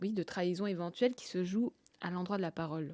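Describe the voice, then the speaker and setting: A woman of medium pitch speaks at a moderate pace in a dark, mellow tone, with ordinary pitch variation and a dry, close sound with no echo. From Russia, grew up in France. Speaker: novelist. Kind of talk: interview. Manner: hesitant, many fillers.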